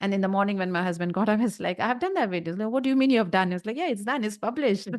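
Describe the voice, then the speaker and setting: A woman with an Indian accent talks at a very fast pace. Her pitch is medium, with ordinary variation. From North India. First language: Hindi. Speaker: YouTube content creator. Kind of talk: interview.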